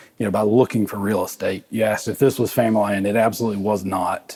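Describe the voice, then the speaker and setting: A man talks at a very fast pace. He has a South Carolina accent. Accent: US Southern (South Carolina). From South Carolina (Gilbert, Lexington County). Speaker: distillery co-founder. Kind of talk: interview.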